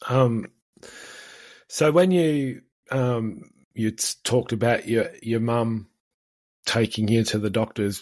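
With an Australian accent, a man at a medium pitch speaks at a very slow pace, with ordinary pitch variation and long, frequent pauses. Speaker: podcast host, farmer and speaker. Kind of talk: interview. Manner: halting, many fillers.

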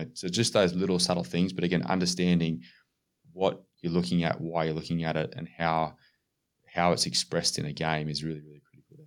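With an Australian accent, a man talks at a fairly quick pace in a very deep, low pitch, his intonation fairly even and his loudness swinging widely, on a very clean recording with a silent background. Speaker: strength and conditioning coach. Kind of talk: casual chat.

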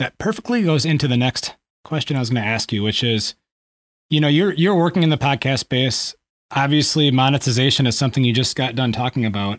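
This man talks at a very fast pace, with a medium pitch and ordinary pitch variation. His loudness stays very even, and the recording is very clean, with a silent background and a dry, close sound with no echo. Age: 40s. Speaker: podcast host. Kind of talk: casual interview.

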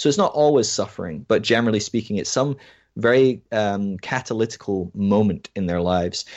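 At a fairly quick pace, a man with an American accent speaks at a fairly low pitch with ordinary pitch variation. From Scotland. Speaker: researcher and podcaster on deconstruction. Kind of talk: casual interview.

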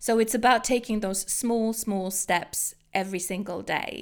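This woman has a British accent. Her voice sits at medium pitch with ordinary pitch variation. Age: 40s. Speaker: social media strategist. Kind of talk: interview conversation.

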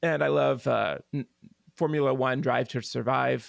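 Against a quiet background, a man with an American accent speaks at a medium pitch and moderate pace, with vocal fry. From Oklahoma (Tulsa). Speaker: pianist and composer. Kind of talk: interview conversation.

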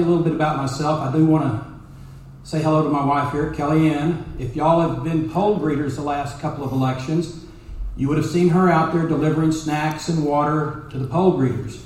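Amid noticeable background noise and audible room echo, a man with an American accent speaks at a fairly high pitch. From Texas, North Dallas. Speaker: judicial candidate, lawyer. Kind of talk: campaign speech.

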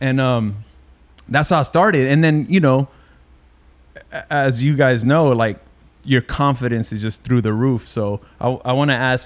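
A plain, everyday voice: a man of medium pitch, ordinary pitch variation, moderate pace. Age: 40s. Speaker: podcast host. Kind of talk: casual chat.

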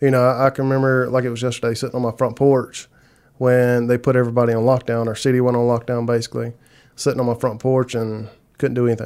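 The delivery is very fast, in a Southern US accent with monotone, flat intonation. The recording is very clean, with a silent background. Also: man, medium pitch for a man. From South Carolina. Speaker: marketing agency co-owner. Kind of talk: interview conversation.

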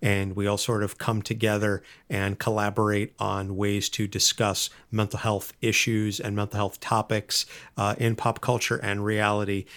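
On a very clean recording with a silent background, a man speaks in a fairly low, monotone, flat voice at a moderate pace. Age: 30s. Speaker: podcast co-host, comic book enthusiast. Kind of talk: casual interview. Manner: halting, many fillers.

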